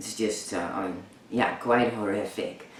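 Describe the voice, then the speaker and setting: Amid noticeable background noise and audible room echo, a man speaks at a fairly slow pace in a fairly low pitch. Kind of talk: personal vlog. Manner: halting, many fillers.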